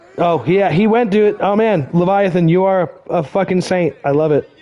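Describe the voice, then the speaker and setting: Over noticeable background noise, a man speaks at a fairly slow pace and a high pitch, with ordinary pitch variation and very even loudness. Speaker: video game streamer. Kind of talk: live gameplay stream chat. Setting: live stream with chat.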